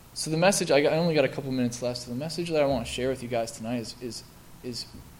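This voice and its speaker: Amid audible room echo, a man of medium pitch talks at a very fast pace with ordinary pitch variation. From US Midwest (Milwaukee, Wisconsin). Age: 20s. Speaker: recovering alcoholic speaker. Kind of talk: testimony. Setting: stage with audience. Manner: halting.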